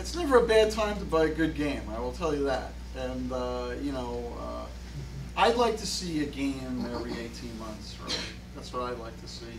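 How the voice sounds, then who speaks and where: Moderate pacing amid audible room echo and noticeable background noise, with big swings in loudness. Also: man. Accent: Brooklyn. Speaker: pinball company founder. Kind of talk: live Q&A interview.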